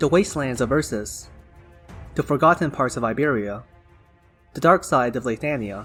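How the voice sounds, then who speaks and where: Music plays in the background as a man speaks at a moderate pace. His pitch is medium, and he leaves long, frequent pauses. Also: ordinary pitch variation. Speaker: lore summary narrator. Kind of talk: game lore summary narration.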